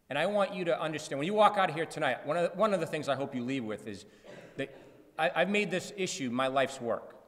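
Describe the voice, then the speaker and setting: A man talks at a very fast pace in a fairly high pitch. Noticeable background noise runs underneath. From Massachusetts, Lawrence. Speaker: anti-gambling campaigner. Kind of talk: public talk. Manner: animated.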